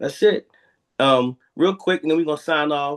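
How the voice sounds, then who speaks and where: Only a quiet background sits behind this man's voice. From Philadelphia, Pennsylvania. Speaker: youth basketball coach and program director. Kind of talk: casual podcast interview. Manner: animated.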